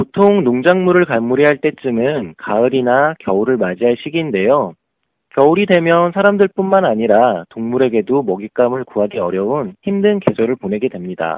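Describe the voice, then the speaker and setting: Talking at a moderate pace, a man with a medium-pitched voice makes very wide pitch swings. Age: 30s. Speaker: leadership education instructor. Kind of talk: prepared lecture.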